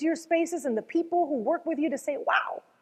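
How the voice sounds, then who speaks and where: Speaking at a fairly quick pace in a high pitch, a woman with a slight Venezuelan accent sounds animated. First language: Spanish. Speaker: motivational speaker, former news anchor. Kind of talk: motivational talk.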